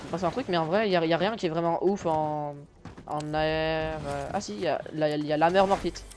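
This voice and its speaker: A man talks at a fairly high pitch. Music plays in the background. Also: ordinary pitch variation. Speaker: gaming youtuber. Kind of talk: casual gameplay chat. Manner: fast; hesitant, stammering.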